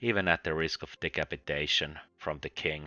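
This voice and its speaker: Music plays in the background as a man speaks. He keeps a moderate pace with ordinary pitch variation. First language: Finnish. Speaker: book reviewer. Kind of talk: video review monologue.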